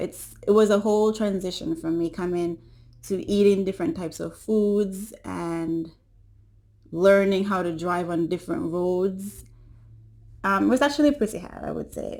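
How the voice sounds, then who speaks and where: With a Caribbean accent, a woman speaks at a moderate pace and medium pitch with ordinary pitch variation on a very clean recording with a silent background. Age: 20s. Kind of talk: casual talk to camera.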